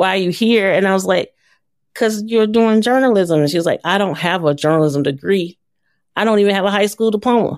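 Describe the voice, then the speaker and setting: A woman with an American accent, a normal speaking voice, medium pitch, ordinary pitch variation, very even loudness and a fairly quick pace, in a very clean recording with a silent background. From US South, Atlanta, Georgia. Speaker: nonprofit founder and former journalist. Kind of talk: interview.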